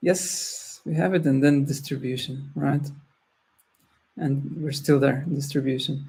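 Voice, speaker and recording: Speaking at a fairly slow pace with a non-native accent, a man has a fairly high pitch, a dark, mellow, somewhat breathy tone and fairly even intonation, with audible room echo. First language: not English. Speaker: trading tutorial host. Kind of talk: screen-share tutorial. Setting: screen-share recording. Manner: halting, many restarts.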